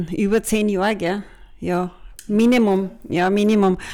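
Here a woman at medium pitch speaks at a fairly slow pace in a monotone, flat intonation. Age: 50s. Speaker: podcast co-host, business consultant. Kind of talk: casual chat.

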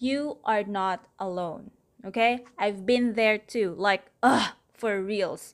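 In a Filipino accent, a woman with a fairly high pitch speaks very slowly with lively intonation on a very clean recording against a silent background. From Manila, Philippines. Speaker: podcast host. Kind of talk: solo podcast monologue, casual.

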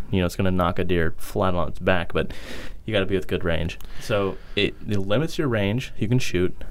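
A man speaks at a moderate pace with lively intonation, and room echo is audible. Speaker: podcast co-host. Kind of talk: casual chat.

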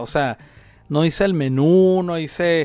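A man speaks at a fairly slow pace with a high-pitched voice. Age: 50s. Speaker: pizzeria owner. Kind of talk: casual interview.

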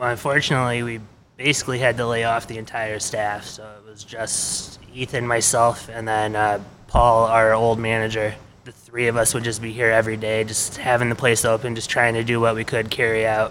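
With an American accent, a man speaks at a medium pitch and a fairly quick pace, his intonation flat and monotone but his loudness swinging widely, over noticeable background noise. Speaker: brewery staff. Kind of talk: casual interview.

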